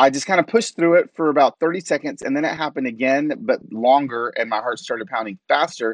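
In an ordinary speaking voice, a man with a fairly high pitch talks at a fairly quick pace with lively intonation, the sound dry and close with no echo over a quiet background. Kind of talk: casual interview.

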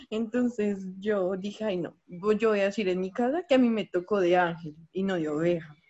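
The speaker has an ordinary speaking voice, moving at a moderate pace with hardly any pauses. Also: woman, medium pitch for a woman, ordinary pitch variation. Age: 20s. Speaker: graphic design student. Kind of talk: casual chat.

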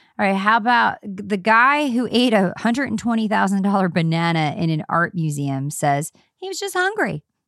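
With a slight Southern US accent, a woman speaks at a medium pitch with lively intonation and hardly any pauses. The recording is very clean, with a silent background. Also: moderate pace. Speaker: podcast co-host. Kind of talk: casual chat between friends.

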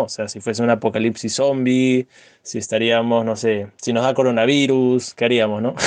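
A man speaks at medium pitch with fairly even intonation, in an ordinary speaking voice. The sound is dry and close, with no echo. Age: 20s. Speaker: podcast co-host. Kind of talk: casual chat.

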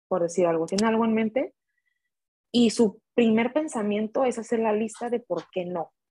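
A woman's somewhat breathy voice at a fairly high pitch, with ordinary pitch variation and a moderate pace. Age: 20s. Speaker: guest, friend of host. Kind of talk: casual chat.

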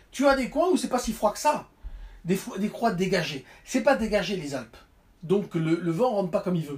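The speaker has a French accent and talks at a moderate pace. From Burgundy, France. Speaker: guest, French expatriate in Japan. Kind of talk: casual chat.

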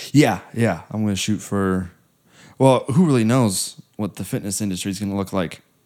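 In a very clean recording with a silent background, a man talks at a moderate pace in a normal speaking voice, his pitch fairly low and its variation ordinary. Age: 20s. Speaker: podcast co-host and fitness trainer. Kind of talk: casual chat.

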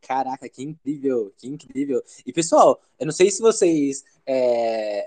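Slow-paced rather than hurried, a man speaks at a fairly high pitch. His tone is dark and mellow. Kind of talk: casual interview chat.

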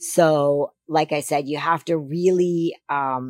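A woman's low-pitched voice with a slightly mellow tone and fairly even intonation

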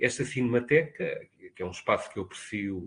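A man is speaking. His voice is somewhat breathy. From Portugal, Lisbon. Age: 50s. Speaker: university professor. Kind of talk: interview. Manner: formal.

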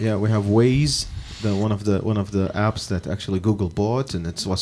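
With an Arabic accent, a man talks at a fairly quick pace, his fairly low voice following fairly even intonation. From Iraq. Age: 30s. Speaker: podcast host. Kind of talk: casual interview.

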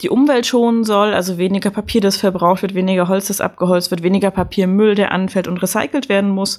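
A woman speaks at a very fast pace, her medium pitch kept in fairly even intonation. The recording is very clean with a silent background. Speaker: podcast host. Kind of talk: casual chat.

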